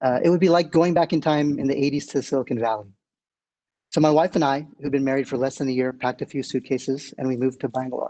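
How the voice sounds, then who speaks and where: A fairly high-pitched man with an American accent and a dark, mellow tone, talking at a very fast pace over a quiet background. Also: fairly even intonation. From United States. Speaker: tech executive. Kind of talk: keynote speech.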